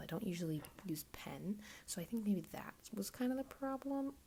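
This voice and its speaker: A woman talks at a fairly quick pace in a somewhat breathy voice with very wide pitch swings. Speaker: craft youtuber. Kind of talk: casual art tutorial voiceover. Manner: casual, hesitant with fillers; whispering.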